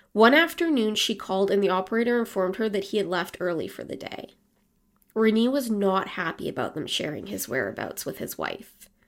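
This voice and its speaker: A woman with a normal speaking voice and medium pitch talks at a fairly quick pace with lively intonation. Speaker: podcast host and storyteller. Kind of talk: true-crime narration, storytelling read with a casual, chatty tone. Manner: conversational, wry, with lukewarm humor and asides.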